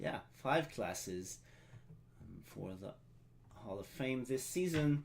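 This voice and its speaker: Speaking at a very slow pace with long, frequent pauses, a man at medium pitch shows very wide pitch swings and big swings in loudness. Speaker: live stream event host. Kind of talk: live stream ceremony hosting. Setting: live stream. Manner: halting, many filler sounds.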